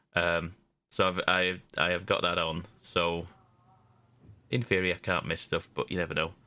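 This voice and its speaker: A man with a British accent speaks in a very deep, low pitch, with monotone, flat intonation, very even loudness, and long, frequent pauses. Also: moderate pace. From Britain. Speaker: video game podcast panelist. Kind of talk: casual chat.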